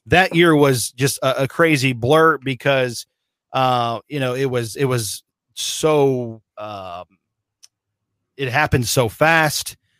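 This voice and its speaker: Very clean recording with a silent background and a dry, close sound with no echo. The pace is very slow, with ordinary pitch variation. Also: man, medium pitch for a man. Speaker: radio play-by-play voice of a football team. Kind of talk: interview answer about his career.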